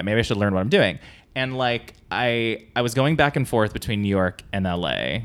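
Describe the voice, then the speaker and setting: This man's voice sits at a medium pitch, with ordinary pitch variation. It's an ordinary speaking voice, delivered at a moderate pace. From US West Coast, San Diego. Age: 30s. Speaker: comedic actor and writer. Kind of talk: casual chat. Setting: at home.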